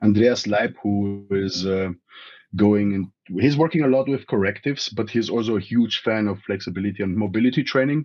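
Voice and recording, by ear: At a moderate pace, a man speaks in a fairly low-pitched voice with a slightly mellow tone and ordinary pitch variation.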